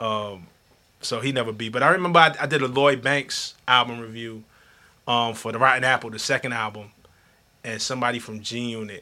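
A New York accent at a fairly quick pace, with a bright, sharp tone, fairly even intonation and big swings in loudness. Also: man, medium pitch for a man. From Flatbush, Brooklyn, New York. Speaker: hip hop journalist. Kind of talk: casual chat.

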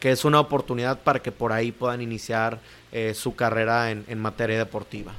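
A man speaks at a fairly quick pace in a medium pitch. His intonation stays monotone and flat. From Mexico, Cuernavaca, Morelos. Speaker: sports program coordinator. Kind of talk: interview. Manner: halting, many fillers.

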